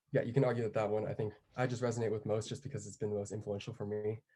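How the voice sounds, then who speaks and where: A man with an American accent speaks in a dark, mellow tone that is somewhat breathy. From US, Japanese American community. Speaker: college student panelist. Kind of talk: panel discussion.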